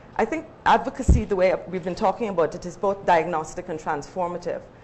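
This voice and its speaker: Very fast female speech, fairly low in pitch, against noticeable background noise. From Guyana. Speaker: university lecturer, panelist. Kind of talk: panel discussion.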